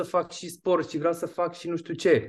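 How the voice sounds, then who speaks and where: Against a quiet background, a man with a high-pitched voice speaks at a moderate pace. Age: 40s. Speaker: fitness and nutrition coach. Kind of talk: interview.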